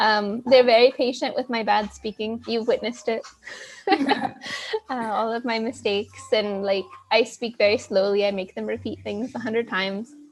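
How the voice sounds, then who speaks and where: A woman with an American accent speaks at a moderate pace in a plain, everyday voice, fairly high in pitch with fairly even intonation. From United States. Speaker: interviewee. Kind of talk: interview.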